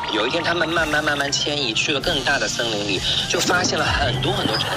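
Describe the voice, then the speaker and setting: With music playing behind, the words come at a fairly quick pace. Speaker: caller, guest. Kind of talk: playful storytelling on a phone call. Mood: joking, teasing.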